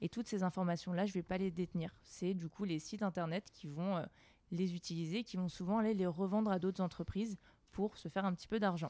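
A woman speaks at a fairly quick pace with fairly even intonation, a dark, mellow tone and medium pitch. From Alsace, France. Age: 20s. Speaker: blockchain product owner. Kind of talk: interview.

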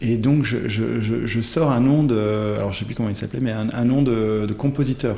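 Somewhat breathy, with a dark, mellow tone and fairly even intonation, a man speaks amid audible room echo. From Belgium (born in Ghent). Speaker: coach and writer. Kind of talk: interview conversation. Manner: hesitant, many fillers.

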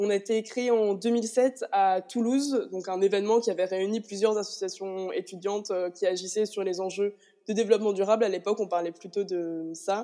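A woman speaks at a moderate pace in an ordinary speaking voice, medium in pitch, with fairly even intonation. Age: 20s. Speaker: student association president. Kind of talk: interview.

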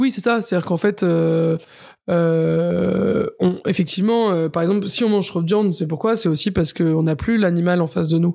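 A woman with a dark, mellow tone and fairly low pitch talks at a moderate pace with ordinary pitch variation, on a very clean recording with a silent background. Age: 30s. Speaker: chef. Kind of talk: interview.

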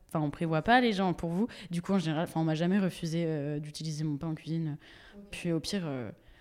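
A woman with a plain, everyday voice talks at a fairly quick pace, fairly low in pitch with ordinary pitch variation. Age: 20s. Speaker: social media creator with coeliac disease. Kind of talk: casual interview chat. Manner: casual, many fillers and laughs.

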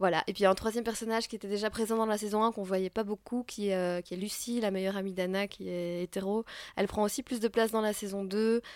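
Her medium-pitched voice moves at a very fast pace with monotone, flat intonation, recorded as a dry, close sound with no echo. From Belgium. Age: 30s. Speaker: playwright and actress. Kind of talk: interview. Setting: at a theatre festival. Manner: hesitant with frequent fillers.

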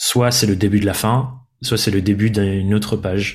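Speaking at a fairly slow pace, a man uses a fairly low, somewhat breathy voice with monotone, flat intonation. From France, Dordogne. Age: 20s. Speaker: entrepreneur and podcaster. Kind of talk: interview conversation. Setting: seated at his desk.

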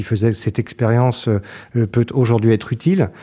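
Against a silent background in a very clean recording, a man with a dark, mellow tone speaks at medium pitch, a moderate pace, and fairly even intonation. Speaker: business executive. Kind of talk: interview. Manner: hesitant, with frequent repetitions.

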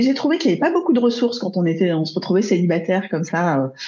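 A woman's somewhat breathy, dark, mellow tone with very wide pitch swings. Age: 40s. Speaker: love coach. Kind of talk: interview conversation.

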